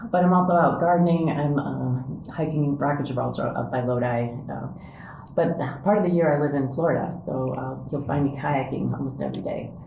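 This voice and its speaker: A woman's very deep, low pitch, fairly quick pace and ordinary pitch variation, amid noticeable background noise and audible room echo. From US Midwest, Indiana. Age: 60s. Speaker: church staff member and spiritual director trainee. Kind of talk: podcast interview, casual conversation. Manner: conversational with many fillers.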